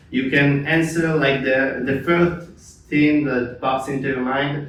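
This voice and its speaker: A man speaks at a fairly slow pace with a fairly high pitch and a flat, monotone delivery. Noticeable background noise and audible room echo are present. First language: Hebrew. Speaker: podcast host and mental coach. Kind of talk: interview. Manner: halting, many fillers and repetitions.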